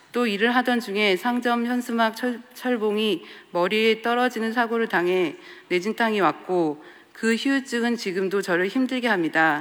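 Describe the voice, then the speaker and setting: The pace is fairly slow, in an ordinary speaking voice. Loudness stays very even, with ordinary pitch variation. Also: woman, fairly high pitch for a woman. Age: 30s. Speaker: artist giving church testimony. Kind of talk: testimony. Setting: church.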